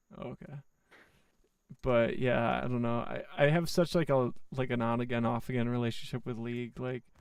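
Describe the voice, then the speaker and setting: Moderate pace and ordinary pitch variation from a man with medium pitch and an unremarkable speaking voice. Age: 20s. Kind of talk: casual chat. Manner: casual, profane.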